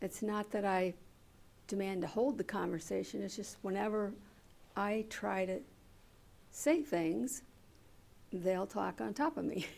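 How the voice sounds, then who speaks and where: A soft-spoken woman at a medium pitch, with lively intonation, a fairly slow pace and long, frequent pauses. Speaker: audience member. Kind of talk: Q&A comment.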